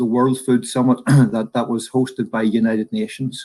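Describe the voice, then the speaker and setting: A man's medium-pitched voice with a Northern Irish accent. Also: quiet background. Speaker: professor, food supply expert. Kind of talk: presentation. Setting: virtual conference.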